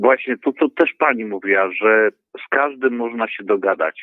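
At a fairly slow pace, a man of medium pitch talks in an ordinary speaking voice. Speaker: caller, driver. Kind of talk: phone call-in. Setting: phone call.

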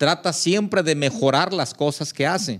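A man's normal speaking voice, fairly high in pitch, with lively intonation at a fairly slow pace. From Zihuatanejo, Guerrero, Mexico. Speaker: church member discussing theology. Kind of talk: casual chat.

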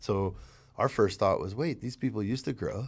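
A man speaks at a fairly low pitch with lively intonation, in a very clean recording with a silent background. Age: 40s. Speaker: chocolate maker guest.

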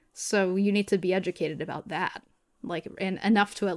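A woman talks at a fairly quick pace in a plain, everyday voice of medium pitch. The sound is dry and close with no echo, on a very clean recording with a silent background. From Massachusetts. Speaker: theater student and activist. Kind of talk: casual chat.

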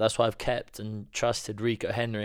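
A man with a Welsh accent speaks at a moderate pace. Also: very clean recording, silent background. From Wales. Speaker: podcast co-host. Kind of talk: casual chat.

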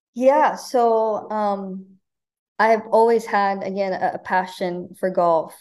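A woman with an American accent, very slow and fairly even in intonation. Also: medium pitch for a woman. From Nebraska, Omaha. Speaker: college golf coach. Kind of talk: interview.

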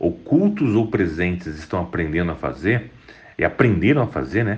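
Vocal fry runs through this man's fairly low voice, which moves at a fairly slow pace with very wide pitch swings. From Espírito Santo, Brazil (Vitória). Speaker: tech entrepreneur. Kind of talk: interview.

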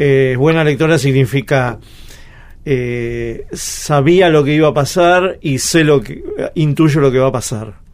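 Noticeable background noise accompanies a man with a fairly high pitch. He talks at a very slow pace with ordinary pitch variation. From Argentina, Río Negro. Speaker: radio host and cartoonist. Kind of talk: radio interview.

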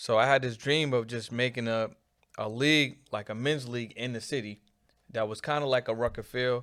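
A man with an American accent speaks in a plain, everyday voice at a medium pitch. His intonation stays fairly even at a moderate pace, in a very clean recording with a silent background. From Boston, Mattapan neighborhood. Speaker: marketing agency owner. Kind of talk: casual interview chat.

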